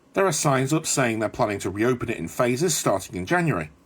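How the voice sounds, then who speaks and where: A man talks at a fairly quick pace with vocal fry and very wide pitch swings. The recording is very clean, with a silent background. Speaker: bus travel vlogger. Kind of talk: travel vlog narration. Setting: studio voiceover.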